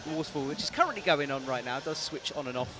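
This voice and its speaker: A man is heard in a dry recording with no echo. There is noticeable background noise. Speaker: sports commentator. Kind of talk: commentary. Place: booth.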